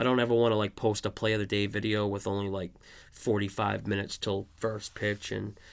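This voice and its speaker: Speaking at a fairly quick pace, a man keeps a fairly low pitch with monotone, flat intonation. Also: very clean recording, silent background. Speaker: sports betting analyst. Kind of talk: casual tutorial. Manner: hesitant, many filler words; soothing.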